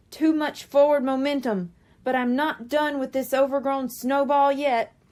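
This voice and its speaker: A woman talks at a moderate pace in a put-on character voice pitched high. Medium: read story. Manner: heroic, determined.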